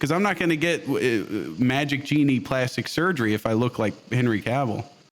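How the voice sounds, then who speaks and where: A man with an American accent speaks at a moderate pace in a plain, everyday voice, his medium pitch carrying lively intonation at very even loudness. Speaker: gaming streamer. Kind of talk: casual interview chat.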